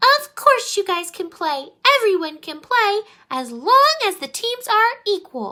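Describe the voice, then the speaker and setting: A woman speaks in a squeaky, put-on character voice at an extremely high pitch, with very wide pitch swings, a fairly slow pace and big swings in loudness. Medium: read story.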